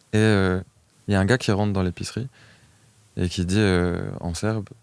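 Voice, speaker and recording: A man's ordinary pitch variation comes through on a very clean recording with a silent background. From France, Besançon. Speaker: singer-songwriter. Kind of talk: interview. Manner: casual, hesitant with fillers.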